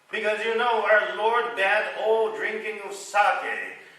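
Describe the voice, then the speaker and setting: Amid noticeable background noise, a man with a high pitch speaks in a raised, projected voice at a very slow pace. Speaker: rakugo storyteller. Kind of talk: comic storytelling with dialogue between characters.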